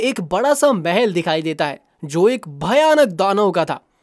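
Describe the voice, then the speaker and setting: Very wide pitch swings in a man's speech, very clean recording, silent background. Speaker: voice actor. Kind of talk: children's story narration.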